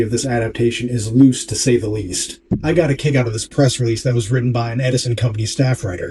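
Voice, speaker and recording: Somewhat breathy and dark, mellow in tone, a man at medium pitch speaks at a very fast pace. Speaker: video essayist and painter. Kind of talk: scripted narration. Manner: self-described sloppy diction.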